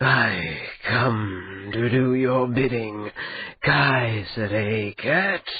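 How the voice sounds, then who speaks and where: A man speaks at a very slow pace in a put-on character voice. His pitch sits in the medium range. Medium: read story. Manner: languid, mocking.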